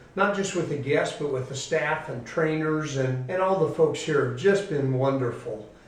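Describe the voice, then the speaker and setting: With an American accent, a man speaks at a fairly high pitch over noticeable background noise and audible room echo. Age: 60s. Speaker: pastor. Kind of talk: testimony.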